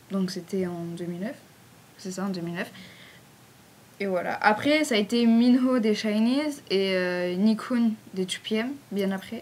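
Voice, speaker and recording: A woman speaks with a southern French accent. She goes at a fairly slow pace with long, frequent pauses. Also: medium pitch for a woman, ordinary pitch variation. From southern France. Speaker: fan page admin. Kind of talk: casual Q&A video. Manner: casual, hesitant with fillers.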